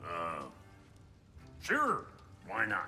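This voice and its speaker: Clear noise fills the background as a man puts on a character voice. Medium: short film. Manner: gruff, blunt.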